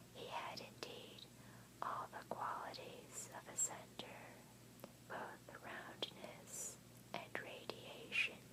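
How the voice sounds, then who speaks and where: Whispering at a very slow pace with long, frequent pauses, over noticeable background noise. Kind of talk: audiobook-style reading of a novel, ASMR. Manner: soft-spoken and whispered, alternating.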